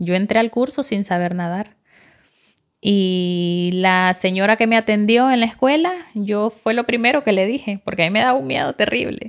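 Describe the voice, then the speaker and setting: A woman talks at a moderate pace with lively intonation. Behind her the background is quiet. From Honduras, El Progreso (Yoro); Honduras. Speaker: flight attendant trainee, former factory worker; former factory worker. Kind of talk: casual interview. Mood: warm, enthusiastic. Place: studio. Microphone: studio mic.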